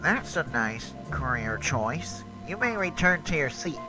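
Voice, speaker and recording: Over loud background music, a man uses a cartoonish character voice at a medium pitch and a fairly slow pace. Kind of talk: cartoon fan dub dialogue.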